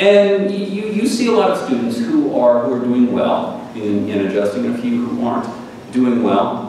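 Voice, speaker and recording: A man at a moderate pace, with strong room echo and light background noise. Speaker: visiting professor lecturer. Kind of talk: lecture. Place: hall.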